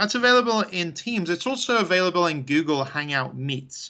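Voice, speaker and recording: Against a quiet background, a man with a high pitch and a bright, sharp tone speaks at a moderate pace with lively intonation. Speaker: tech trainer. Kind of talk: webinar presentation. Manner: animated.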